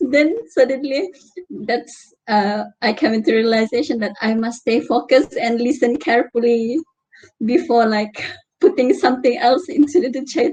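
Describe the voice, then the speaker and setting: The speaker has a Malaysian accent and a lively intonation. The pace is moderate. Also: woman, high pitch for a woman. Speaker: university student. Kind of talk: group discussion.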